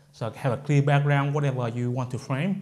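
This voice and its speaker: A man's somewhat breathy voice comes across a quiet background. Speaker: video gear tutorial host. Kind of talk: tutorial. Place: home room. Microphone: lapel.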